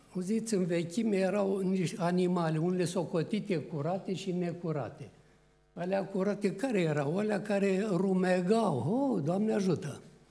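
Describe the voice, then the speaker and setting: Loudness stays very even as a man speaks at a high pitch with ordinary pitch variation and a moderate pace. His tone is dark and mellow, and room echo is audible. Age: 80s+. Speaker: preacher. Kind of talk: sermon. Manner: animated.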